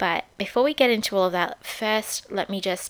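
A woman with an Australian accent talks at a moderate pace with ordinary pitch variation. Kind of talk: casual solo talk with faith themes. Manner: casual, many fillers.

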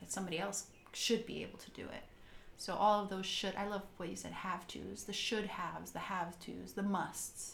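A woman at a moderate pace, with big swings in loudness and audible room echo. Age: 40s. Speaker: podcast co-host. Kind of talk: scripted narration; casual chat.

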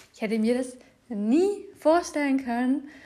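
Her intonation is lively and her tone dark and mellow. Nothing but silence sits behind this woman in a very clean recording. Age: 20s. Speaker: personal development podcast host and trainer. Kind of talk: solo podcast monologue.

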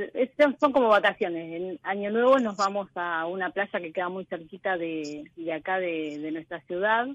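A woman's normal speaking voice at a medium pitch, fairly slow, with lively intonation. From Argentina, southwest Buenos Aires province. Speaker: economics teacher, caller. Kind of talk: personal testimony on a call-in show.

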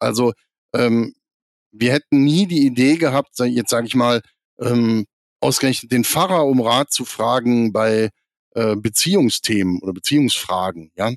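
The speech comes at a fairly slow pace with long, frequent pauses and ordinary pitch variation, in a dry, close sound with no echo. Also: man, medium pitch for a man. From Lower Rhine, Germany (near Krefeld). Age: 40s. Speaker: church synod member and magazine editor. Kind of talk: podcast interview. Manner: frequent filler hesitations.

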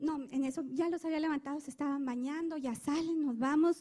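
Her dark, mellow tone carries ordinary pitch variation as the woman speaks at a moderate pace. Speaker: church member. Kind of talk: testimony.

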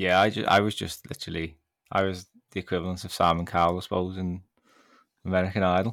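In a very clean recording with a silent background, a man with a British accent and a very deep, low voice talks very fast in a flat monotone, broken by long, frequent pauses. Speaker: fantasy author and writing teacher. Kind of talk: casual interview chat. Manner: halting, with filler words.

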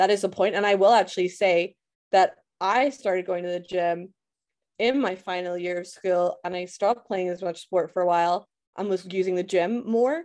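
A woman talks in a Scottish accent at a moderate pace. Her medium pitch stays on fairly even intonation. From Scotland. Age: 20s. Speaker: podcaster and education worker. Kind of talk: casual chat.

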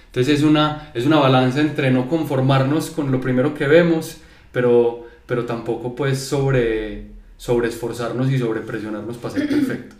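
A man speaks at a moderate pace in a medium-pitched voice with fairly even intonation. Background noise is noticeable. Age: 30s. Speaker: creative business owner. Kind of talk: casual chat.

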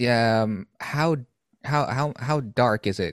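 In a plain, everyday voice, a man speaks at a medium pitch with ordinary pitch variation, dry and close with no echo on a very clean recording against a silent background. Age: 30s. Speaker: podcast host. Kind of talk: casual interview.

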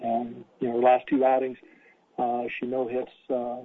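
A man's medium-pitched, relaxed voice, monotone and flat in intonation, at a moderate pace. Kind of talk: pregame coach interview, not live commentary. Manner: relaxed, filler-heavy, halting with many 'uh's.

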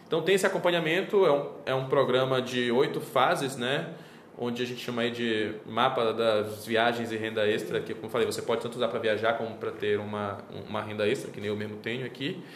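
Noticeable background noise and audible room echo surround a voice moving at a fairly quick pace with ordinary pitch variation. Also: man, medium pitch for a man. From Brazil, Belém do Pará. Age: 30s. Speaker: travel miles and credit card specialist. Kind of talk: interview.

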